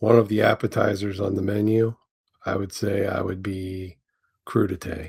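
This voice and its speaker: A fairly low-pitched man's voice, somewhat breathy, with monotone, flat intonation. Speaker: podcast co-host, sports card collector. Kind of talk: casual chat.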